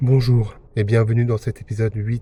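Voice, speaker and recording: In a medium pitch, a man speaks with a somewhat breathy, dark, mellow tone and monotone, flat intonation. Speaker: vlogger and musician. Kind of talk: casual vlog narration. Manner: fast, poorly articulated.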